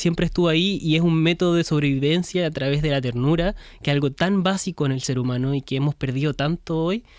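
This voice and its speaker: Very fast and with hardly any pauses, a man speaks at a fairly high pitch with ordinary pitch variation. The recording is very clean, with a silent background. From Chile. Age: young. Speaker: film director. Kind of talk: interview.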